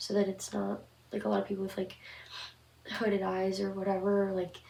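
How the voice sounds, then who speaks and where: Over noticeable background noise, a woman speaks at a moderate pace and medium pitch. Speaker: horror story channel host. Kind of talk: casual commentary to camera.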